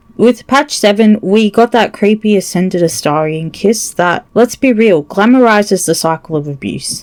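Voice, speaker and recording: A woman with a medium pitch uses lively intonation and hardly any pauses. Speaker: gaming video creator. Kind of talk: video essay commentary. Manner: slow.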